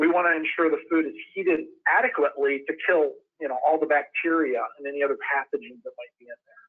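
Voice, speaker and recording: A man talks at a very fast pace in an American accent, with big swings in loudness. The background is quiet. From Wisconsin. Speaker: industrial sales engineer. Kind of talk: webinar presentation. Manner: hesitant with fillers. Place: home room. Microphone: webcam.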